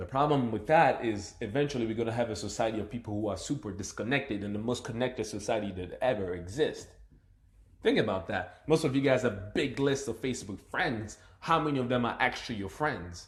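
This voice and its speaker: Somewhat breathy, a man of medium pitch speaks at a fairly quick pace with ordinary pitch variation. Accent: slight African. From Democratic Republic of the Congo. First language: not English (multilingual). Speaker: motivational speaker. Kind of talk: live stream monologue. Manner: animated; halting.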